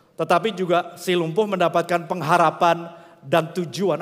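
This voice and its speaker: Over noticeable background noise, a high-pitched man speaks at a moderate pace. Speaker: pastor. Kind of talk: sermon. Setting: church.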